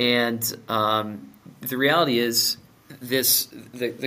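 A man speaks in an ordinary speaking voice at medium pitch with fairly even intonation. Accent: American. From Minnesota. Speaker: company owner and CEO. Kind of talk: interview.

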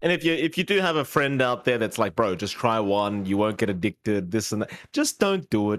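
A man uses a normal speaking voice at a medium pitch, moving at a fairly quick pace with lively intonation and hardly any pauses, in a dry, close sound with no echo. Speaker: esports caster and podcast co-host. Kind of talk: casual chat. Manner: playful, teasing.

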